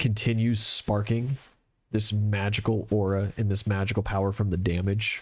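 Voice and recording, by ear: Someone reads aloud in a natural voice, and the background stays quiet.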